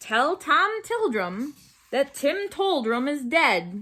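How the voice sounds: Putting on a character voice, a woman talks very slowly in a high, squeaky pitch with very wide pitch swings.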